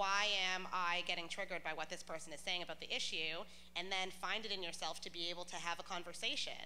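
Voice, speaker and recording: At a very fast pace, a woman talks loudly in a fairly low pitch, her bright, sharp tone delivered in a monotone, flat intonation with audible room echo. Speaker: panelist. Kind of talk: panel discussion.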